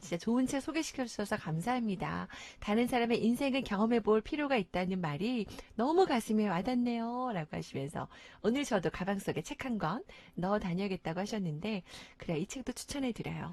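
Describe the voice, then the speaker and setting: Lively intonation runs through a fairly quick delivery. There is a somewhat breathy quality to the voice. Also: woman. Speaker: radio host. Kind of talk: radio talk show hosting.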